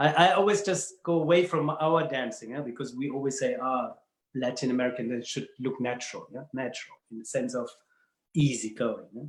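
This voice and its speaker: A man with a German accent speaks at a fairly quick pace. His fairly high pitch shows ordinary variation. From Germany, Bavaria. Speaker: dance professional. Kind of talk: casual interview chat. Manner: halting, repeats words.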